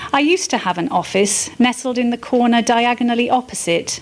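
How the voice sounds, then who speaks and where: Speaking fairly slowly with ordinary pitch variation, a woman can be heard above noticeable background noise. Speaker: amateur writer. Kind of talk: reading aloud. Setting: arts festival event.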